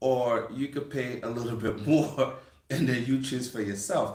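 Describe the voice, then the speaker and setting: A man talks at a fairly slow pace with a Brooklyn accent, his medium-pitched voice somewhat breathy. Room echo is audible around him. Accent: Brooklyn New York. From US, Brooklyn, New York City. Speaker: farmer and channel host. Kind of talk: casual chat.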